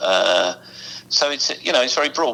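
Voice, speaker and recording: A man with an English accent, talking at a fairly quick pace. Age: 60s. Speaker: musicians' union representative. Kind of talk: interview. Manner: animated.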